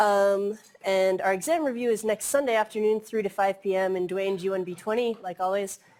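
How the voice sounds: A woman's slightly mellow voice, a fairly quick pace, and fairly even intonation. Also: medium pitch for a woman.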